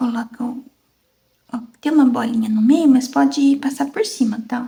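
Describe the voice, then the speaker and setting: A soft-spoken woman with a high pitch, talking at a fairly slow pace. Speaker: fabric painting teacher. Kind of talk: tutorial.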